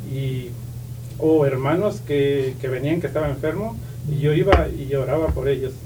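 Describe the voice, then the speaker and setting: There is audible room echo and noticeable background noise around this man. His intonation stays fairly even. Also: fairly high pitch for a man, moderate pace. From Oaxaca, Mexico (Isthmus of Tehuantepec). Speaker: pastor's son, church member. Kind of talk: testimony. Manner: halting, many fillers and repetitions.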